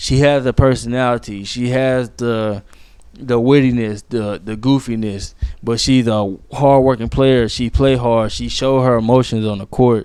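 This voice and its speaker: Here a man speaks at a medium pitch with a dark, mellow tone. His pace is fairly slow and his intonation fairly even. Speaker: podcast host. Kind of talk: casual solo sports podcast. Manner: halting, stumbles over words; casual, slangy.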